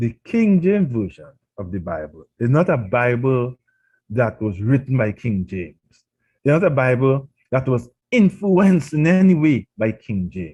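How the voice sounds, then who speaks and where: In a Trinidadian accent, a man with a medium-pitched, dark, mellow, somewhat breathy voice makes very wide pitch swings and big swings in loudness. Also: moderate pace. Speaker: pastor. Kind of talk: radio sermon.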